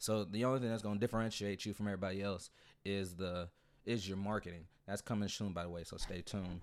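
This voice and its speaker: The recording is very clean, with a silent background. A man with a fairly low voice talks at a very fast pace with fairly even intonation. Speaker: podcast host. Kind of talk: casual chat.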